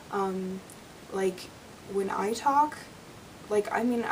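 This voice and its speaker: A woman speaks very slowly, with noticeable background noise around her. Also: medium pitch for a woman, ordinary pitch variation. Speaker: book vlogger. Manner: casual, filler-heavy speech.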